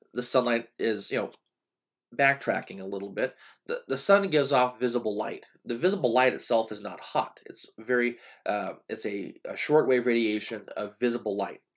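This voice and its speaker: Medium pitch and ordinary pitch variation in a man's speech. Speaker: community college professor. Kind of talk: lecture. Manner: fast; hesitant, many fillers.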